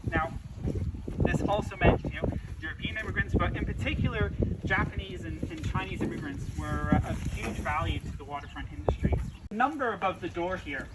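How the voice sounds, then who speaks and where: Noticeable background noise runs under this clip. A man talks at a moderate pace. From UK. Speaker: heritage site tour guide. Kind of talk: guided tour. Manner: frequent filler hesitations.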